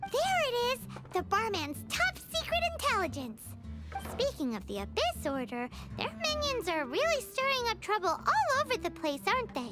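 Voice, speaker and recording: A female-sounding cartoonish character voice speaks at a moderate pace. Loud music plays in the background. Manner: bubbly, speaks of herself in third person.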